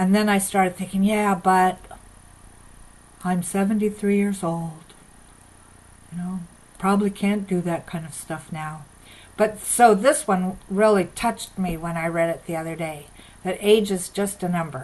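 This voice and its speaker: A woman speaks in a somewhat breathy voice, with long, frequent pauses and big swings in loudness. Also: medium pitch for a woman, ordinary pitch variation, moderate pace. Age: 70s. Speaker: minister. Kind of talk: sermon. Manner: conversational.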